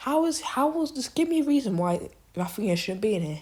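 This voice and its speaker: A woman's somewhat breathy voice moves at a moderate pace while her pitch swings very widely. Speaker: football commentator. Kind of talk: opinion monologue. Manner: halting, repetitive.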